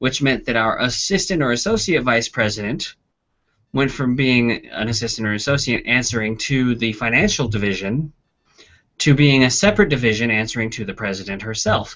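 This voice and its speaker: Here a man talks at a fairly quick pace. His pitch is medium, with ordinary variation. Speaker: university instructor. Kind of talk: lecture. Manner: fast.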